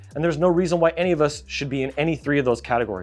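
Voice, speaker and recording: A man talks with music in the background. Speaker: graphic designer and YouTuber. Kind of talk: vlog monologue. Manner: fast; animated.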